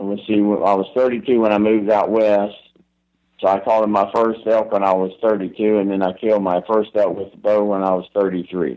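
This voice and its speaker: With a Southern US accent, a man talks fairly quickly in a monotone, flat intonation, his fairly low voice dark and mellow in tone. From Florida, US South. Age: 70s. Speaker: elk hunting expert. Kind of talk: podcast interview.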